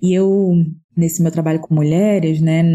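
A woman's somewhat breathy voice carries a dark, mellow tone and fairly even intonation. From Pernambuco, Brazil (Recife). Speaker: writer, parenting educator. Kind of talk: casual chat.

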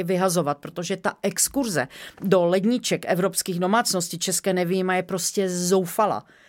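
On a very clean recording with a silent background, a woman speaks at a moderate pace and medium pitch in a flat monotone. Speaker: company co-founder. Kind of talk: interview.

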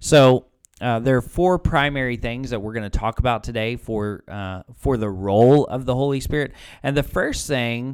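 A man talks at a fairly slow pace in a normal speaking voice, with medium pitch and ordinary pitch variation. The recording is very clean, with a silent background. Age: 30s. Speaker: pastor. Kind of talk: casual podcast chat about faith.

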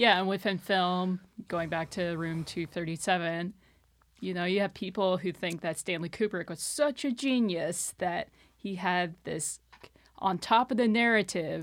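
In a plain, everyday voice, a woman speaks at medium pitch with ordinary pitch variation on a very clean recording with a silent background. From Texas, Austin. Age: 30s. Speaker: podcast guest. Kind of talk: casual chat. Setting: studio.

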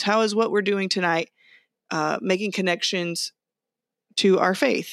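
On a very clean recording with a silent background and a dry, close sound with no echo, a woman speaks in an animated tone with ordinary pitch variation. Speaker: podcast co-host, Salvation Army officer. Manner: animated, jokey.

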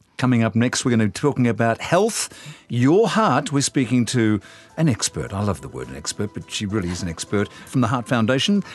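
A man speaks with an Australian accent at a medium pitch and a fairly quick pace. His intonation is lively, and there is noticeable background noise. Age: 60s. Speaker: podcast host. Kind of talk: casual chat.

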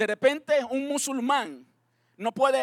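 On a very clean, dry recording with a close sound, no echo and a silent background, a man with an extremely high voice speaks at a fairly slow pace. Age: 40s. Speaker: pastor. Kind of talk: sermon.

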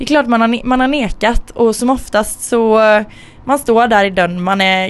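Moderately paced female speech in a normal speaking voice, with ordinary pitch variation. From Sweden, Gothenburg. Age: 20s. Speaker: podcast co-host and university student. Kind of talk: casual chat.

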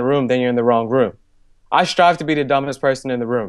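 A man with a Chicago accent, fairly high in pitch, very fast in pace, over a quiet background. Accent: Chicago American English. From Chicago, US Midwest. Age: 20s. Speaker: author and entrepreneur. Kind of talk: podcast interview. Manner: animated.

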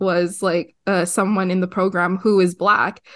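A woman's moderate-paced speech sits over a quiet background. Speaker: podcast co-host. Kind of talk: casual chat.

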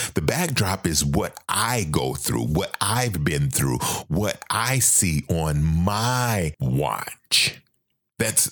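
Very slow and very even in loudness, this man's very deep, low voice carries vocal fry and very wide pitch swings. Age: 50s. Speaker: podcast host. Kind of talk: monologue.

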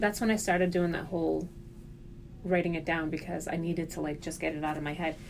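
The voice belongs to a woman. She speaks at a fairly quick pace. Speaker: podcast co-host. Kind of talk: casual chat. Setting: office.

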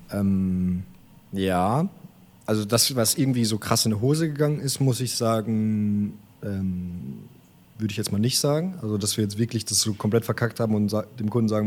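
Fairly low male voice, a normal speaking voice, with ordinary pitch movement. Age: 20s. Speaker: videographer, company co-founder. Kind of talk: casual interview chat. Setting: remote recording.

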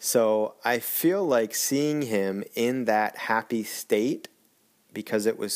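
On a very clean recording with a silent background, a man with a medium pitch speaks at a very slow pace. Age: 40s. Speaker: podcaster documenting triathlon training. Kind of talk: personal monologue podcast. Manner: hesitant, many fillers.

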